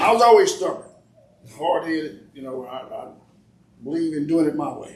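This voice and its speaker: Pitched fairly high, a man talks at a moderate pace with lively intonation and big swings in loudness. He leaves long, frequent pauses, and the room echo is audible. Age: 70s. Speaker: family elder interviewed about family history. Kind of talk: casual storytelling interview.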